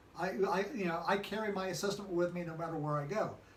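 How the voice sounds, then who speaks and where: A man with an American accent speaks in a high voice, with audible room echo and noticeable background noise. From California. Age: 60s. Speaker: political commentary show host. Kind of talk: casual political discussion. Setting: filmed in a design and events venue.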